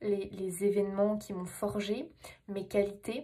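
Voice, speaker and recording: A woman with fairly high pitch speaks at a very slow pace. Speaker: tarot reader. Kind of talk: tarot reading monologue. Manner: animated, hesitant fillers.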